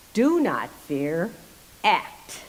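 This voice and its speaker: Woman at a medium pitch against noticeable background noise. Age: 80s+. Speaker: amateur performer reading personal story. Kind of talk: reading aloud.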